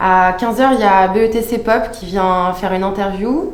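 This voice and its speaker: A woman with a medium-pitched voice is heard over noticeable background noise and audible room echo. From France, Paris. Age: 20s. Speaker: startup founder and CEO. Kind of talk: casual documentary interview. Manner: hesitant, many filler sounds.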